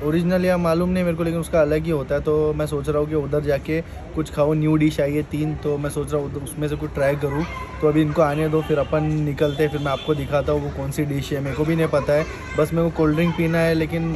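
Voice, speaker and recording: A man's fairly quick, monotone, flat delivery at a fairly high pitch, with audible room echo and noticeable background noise. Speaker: food and travel vlogger. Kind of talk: casual vlog chat.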